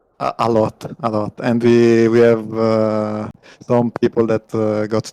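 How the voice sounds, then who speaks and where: A man speaks with an Italian accent at a very slow pace and a fairly low pitch. His intonation is monotone and flat, in a dry, close sound with no echo. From Italy. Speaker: team pilot. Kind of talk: post-match interview. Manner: halting.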